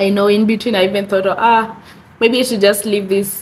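Noticeable background noise sits behind a woman whose voice is breathy. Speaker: vlogger. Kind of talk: casual vlog talk. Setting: bedroom. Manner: breathy, struggling to breathe.

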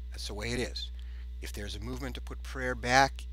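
Over light background noise and with a dry sound that has no echo, a man speaks in a very deep, low pitch with monotone, flat intonation. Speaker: atheist YouTuber. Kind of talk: video response, argumentative. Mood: indignant, argumentative. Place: home room. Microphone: headset.

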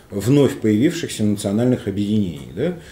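A man's dark, mellow voice with lively intonation, plus audible room echo. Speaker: talk show host and moderator. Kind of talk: panel discussion. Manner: halting. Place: meeting room.

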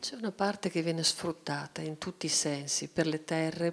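A woman's very deep, low voice at a moderate pace. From Italy. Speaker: cartoonist; guest. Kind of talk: panel discussion. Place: hall. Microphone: handheld.

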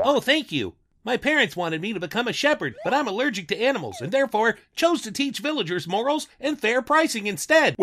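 An extremely high male voice at a fairly quick pace, with hardly any pauses and very wide pitch swings, on a very clean recording with a silent background. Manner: smug, carefree.

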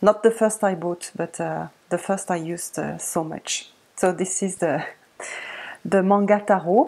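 A woman with a French accent and a medium pitch talks at a fairly slow pace, her intonation fairly even. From France. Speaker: tarot video creator. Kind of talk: casual tutorial-style show-and-tell. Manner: halting, many fillers. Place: home room. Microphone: webcam.

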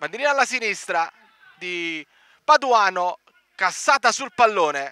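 A man's high-pitched, raised and projected voice at a fairly slow pace, with very wide pitch swings and long, frequent pauses, in a dry, close sound with no echo. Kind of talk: live sports commentary.

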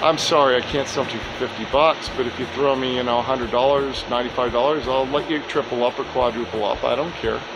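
The speaker is a man talking at a very fast pace. There is noticeable background noise. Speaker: storage unit reseller. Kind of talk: casual vlog chat. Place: garage. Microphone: phone near.

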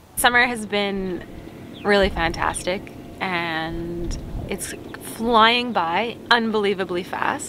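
Very slow speech from a woman, a dry sound with no echo, and noticeable background noise. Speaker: travel vlogger. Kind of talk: casual vlog chat. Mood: relaxed, cheerful. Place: boat.

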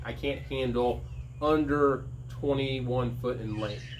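Light background noise sits behind the man's voice. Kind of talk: casual vlog chat. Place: workshop. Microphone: camera far.

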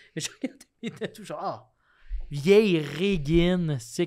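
A high-pitched man speaking very slowly, with a quiet background. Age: 30s. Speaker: comedian. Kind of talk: casual chat. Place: studio. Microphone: studio mic.

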